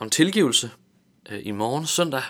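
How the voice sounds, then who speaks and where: The tone of this man's voice is bright and sharp. He talks at a moderate pace. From Tanzania and Vejle area, Denmark. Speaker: theology graduate giving devotionals. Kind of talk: radio interview. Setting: radio studio. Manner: halting, many fillers and repetitions.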